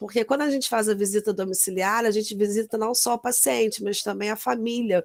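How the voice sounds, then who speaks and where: This is a woman with a fairly high pitch and ordinary pitch variation. She has an ordinary speaking voice, heard on a very clean recording with a silent background. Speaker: nurse. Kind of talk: lecture.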